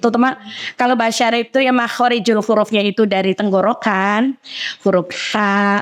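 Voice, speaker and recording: A woman's medium-pitched, unremarkable speaking voice with ordinary pitch variation. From Central Java, Indonesia. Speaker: women's religious organization leader and preacher. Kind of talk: podcast interview.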